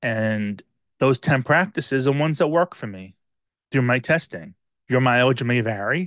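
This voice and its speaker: Against a quiet background, a man speaks at a medium pitch and a moderate pace, with very wide pitch swings. His long, frequent pauses come through in a dry, close sound with no echo. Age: 50s. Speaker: podcast host. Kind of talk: personal monologue. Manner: hesitant with frequent filler words.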